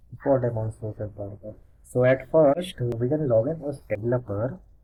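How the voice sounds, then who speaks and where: With music in the background, a man talks at medium pitch with lively intonation. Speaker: hackathon participant. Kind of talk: software demo walkthrough.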